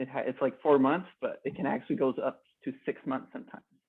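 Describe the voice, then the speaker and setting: A man with a Quebec accent, fairly high in pitch, at a fairly quick pace. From Quebec, Canada. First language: French. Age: 20s. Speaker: customer sharing experience. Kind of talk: casual interview chat. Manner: halting.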